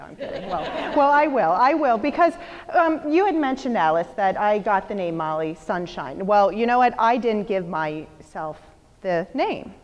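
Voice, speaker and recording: Amid noticeable background noise, a woman talks at a moderate pace with very wide pitch swings. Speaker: motivational speaker. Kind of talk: motivational talk. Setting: stage with audience. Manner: loud; animated.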